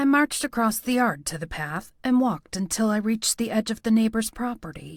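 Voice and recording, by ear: Someone is reading aloud in a natural voice, the intonation fairly even.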